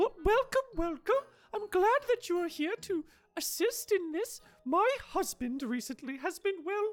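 A put-on character voice squeaks along at an extremely high pitch. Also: moderate pace. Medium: actual play. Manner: warm, polite, slightly fussy.

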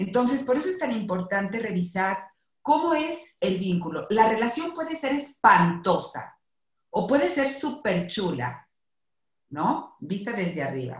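Somewhat breathy, the voice moves at a fairly slow pace with very wide pitch swings. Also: woman, fairly high pitch for a woman. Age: 50s. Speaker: psychologist. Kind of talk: casual chat.

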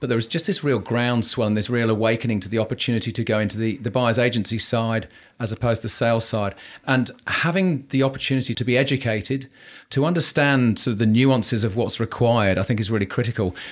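Ordinary pitch variation at a very fast pace, on a very clean recording with a silent background. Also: man, medium pitch for a man. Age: 50s. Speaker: podcast co-host and mortgage broker. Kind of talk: casual interview. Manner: halting, many fillers.

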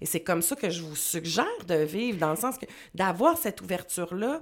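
A woman speaks with a Quebec accent, her pitch swinging very widely. The recording is very clean, with a silent background. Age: 40s. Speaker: life coach. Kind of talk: interview.

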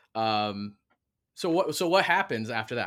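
Against a silent background on a very clean recording, a man with an ordinary speaking voice and an American accent talks at a fairly quick pace, his fairly low pitch showing ordinary pitch variation. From Michigan. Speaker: history professor and podcast host. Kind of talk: interview.

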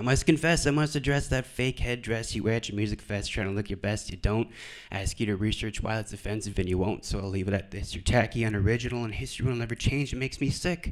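The speech runs at a very fast pace with hardly any pauses and ordinary pitch variation, captured in a very clean recording over a silent background. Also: man, medium pitch for a man. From Alberta, Canada (Cree Nation). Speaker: comedian and actor. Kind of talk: stand-up and spoken word. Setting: stage with audience.

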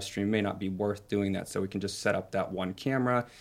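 This is a man speaking. His voice sits fairly low in pitch. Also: very clean recording, silent background. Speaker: event producer. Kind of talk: interview.

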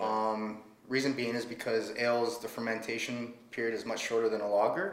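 With a Canadian accent, a man talks at a fairly quick pace and medium pitch, with audible room echo and noticeable background noise. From Ontario, Canada. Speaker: brewery and bar owner. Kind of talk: casual interview. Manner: hesitant, many fillers.

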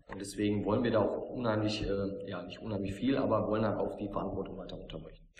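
Over noticeable background noise, a man talks very fast in a fairly low, flat monotone, his loudness swinging widely. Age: 30s. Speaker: production line manager. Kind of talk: interview.

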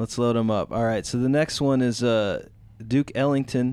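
Mumbling in a playful tone, a man speaks at a moderate pace and medium pitch with fairly even intonation, on a very clean recording with a silent background. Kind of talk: radio dj patter, relaxed stoner-style banter between tracks. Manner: laid-back, slurred and mumbling, stoned, playful and hip-sounding.

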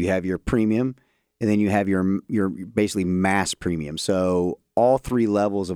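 Speaking with a Midwestern American accent, a man talks at a fairly slow pace in a very deep, low pitch with ordinary pitch variation, recorded very cleanly against a silent background. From Columbus, Ohio. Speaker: area sales manager. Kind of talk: casual interview.

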